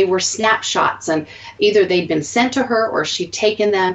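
Noticeable background noise runs beneath a woman talking at a moderate pace. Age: 40s. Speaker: podcast host. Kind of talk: casual chat.

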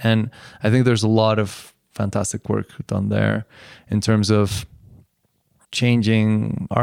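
The recording is very clean with a silent background, capturing a man at a fairly slow pace in a dry, close sound with no echo. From Colombia until age seven, then abroad. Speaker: artist and activist. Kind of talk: casual interview conversation. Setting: recorded on location in a small Mexican town. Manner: hesitant, many fillers.

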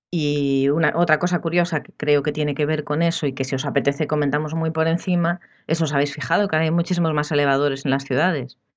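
Very fast, monotone, flat speech from a woman with a very deep, low pitch and hardly any pauses, over a quiet background. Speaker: architect. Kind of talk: casual chat.

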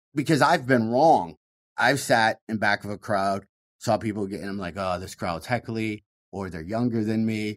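On a very clean recording with a silent background, a man with a Michigan accent speaks at a fairly low pitch, with ordinary pitch variation and big swings in loudness. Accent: Michigan Midwestern American. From US Midwest. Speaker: comedian. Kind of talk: casual interview. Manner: fast talker.

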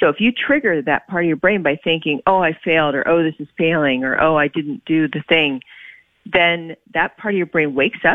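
She has a normal speaking voice with an American accent and a fairly low pitch for a woman. Her pace is moderate and her pitch varies in an ordinary way. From Oklahoma. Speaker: author and medical doctor. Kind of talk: interview.

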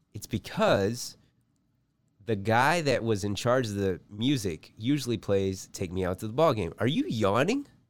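With an ordinary speaking voice, a man talks at a medium pitch and with ordinary pitch variation. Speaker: comedy podcast co-host. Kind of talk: comedic casual banter. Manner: jokey, laughs often.

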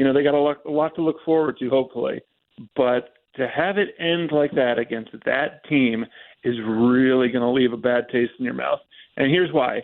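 A man with an American accent and an ordinary speaking voice, medium pitch, ordinary pitch variation and a moderate pace. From New Jersey. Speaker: caller, Giants fan. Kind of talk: phone-in radio call. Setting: phone call.

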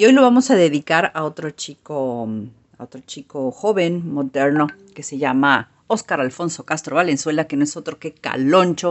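The speaker has a Mexican accent and lively intonation. The pace is moderate, with big swings in loudness. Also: woman, very deep, low pitch for a woman. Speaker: music columnist. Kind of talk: radio column.

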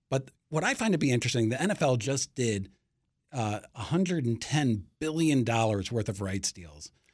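A man talks in a plain, everyday voice at a medium pitch. His pace is moderate and his intonation lively. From Washington, D.C. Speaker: sports media reporter. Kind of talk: interview.

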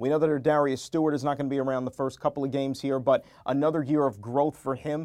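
A man talks very fast in a fairly high, flat monotone. The background is quiet. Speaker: sports radio broadcaster. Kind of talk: casual interview chat.

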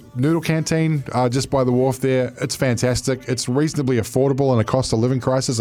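With a New Zealand accent, a man speaks at a fairly quick pace. His voice sits at a medium pitch with fairly even intonation. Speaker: radio sports co-host. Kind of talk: casual sports radio banter.

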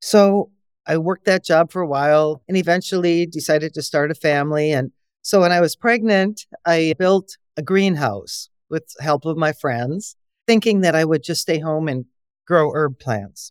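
Talking at a moderate pace in an Upper Midwest US accent, a woman with a fairly low pitch shows ordinary pitch variation, her sound dry and close with no echo. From Wisconsin. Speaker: herbalist and organic farmer. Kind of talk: interview.

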